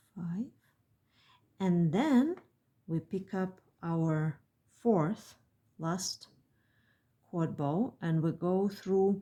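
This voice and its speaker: On a very clean recording with a silent background, a woman of medium pitch speaks at a very slow pace in a dark, mellow tone, leaving long, frequent pauses. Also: ordinary pitch variation. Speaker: beadwork designer and tutorial maker. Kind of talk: tutorial.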